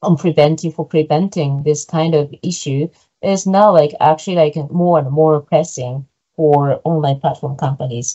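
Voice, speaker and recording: Moderate pace and fairly even intonation. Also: woman, very deep, low pitch for a woman. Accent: Japanese. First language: Japanese. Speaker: PhD researcher presenting research. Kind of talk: academic seminar Q&A answer. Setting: online seminar video call. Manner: halting, many fillers.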